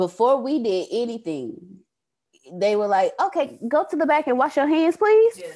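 Her voice is high-pitched for a woman, with a dark, mellow tone. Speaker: staff member. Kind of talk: team meeting. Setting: video call.

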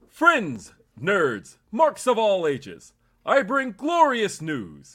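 A man puts on a high-pitched character voice and speaks at a very slow pace. The recording is very clean, with a silent background. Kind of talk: announcer reading.

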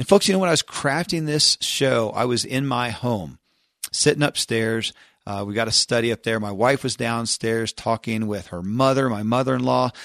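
A man's medium-pitched voice with ordinary pitch variation, dry and close without echo, against a quiet background. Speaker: podcast host. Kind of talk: casual commentary. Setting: home. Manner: fast when impassioned.

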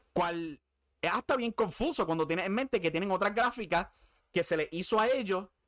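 Vocal fry runs through a bright, sharp tone at a moderate pace, in a very clean recording with a silent background and a dry, close sound with no echo. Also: man. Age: 30s. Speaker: wrestling podcast host. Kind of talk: solo commentary podcast. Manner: casual.

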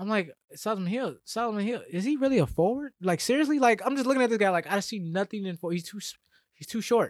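Lively intonation from a man with an American accent, on a very clean recording with a silent background and a dry, close sound with no echo. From Atlanta area, US South. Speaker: sports podcast co-host. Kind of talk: casual chat.

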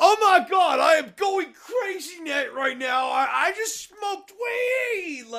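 A man shouts in a put-on character voice, pitched extremely high for a man. He keeps a fairly slow pace with hardly any pauses. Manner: exaggerated, overacted.

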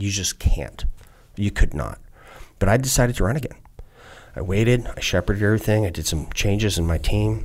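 With vocal fry and ordinary pitch variation, a man talks at a fairly quick pace broken by long, frequent pauses. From US Midwest, southeastern Wisconsin. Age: 50s. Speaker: retired navy special forces, congressional candidate. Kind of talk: long-form interview, casual chat. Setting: studio. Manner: animated.

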